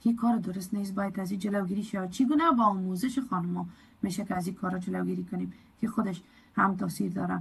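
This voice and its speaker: Speaking very fast in an Afghan accent, a woman uses a medium pitch with ordinary pitch variation and vocal fry. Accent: Afghan Dari. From Afghanistan. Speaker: community advocate, program coordinator. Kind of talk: presentation lecture.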